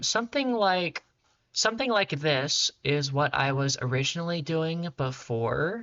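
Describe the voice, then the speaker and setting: A breathy, put-on character voice at middle pitch and a moderate pace. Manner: feminine-coded speech.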